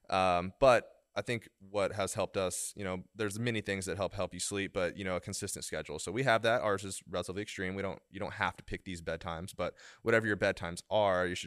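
Over a very clean, silent background, a man with an American accent talks at a very fast pace in a very deep, low pitch with fairly even intonation. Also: dry, close sound with no echo. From Oklahoma. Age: 30s. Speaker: golf fitness coach, podcast co-host. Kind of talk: casual chat.

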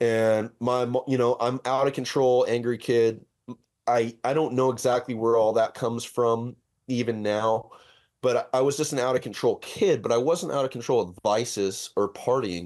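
A man with a Californian accent at medium pitch and moderate pace, fairly even intonation, quiet background. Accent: Californian American. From Southern California. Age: 30s. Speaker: custom auto shop owner and fabricator. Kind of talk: casual interview.

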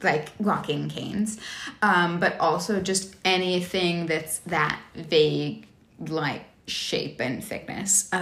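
A very slow delivery in an American accent, with ordinary pitch variation and audible room echo. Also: woman. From Texas. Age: 20s. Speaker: podcast guest. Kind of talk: casual interview. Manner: hesitant, many fillers.

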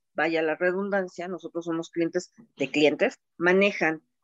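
A woman uses an unremarkable speaking voice at medium pitch, with fairly even intonation and a fairly slow pace. The sound is dry and close, with no echo. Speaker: procurement manager. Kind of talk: panel discussion.

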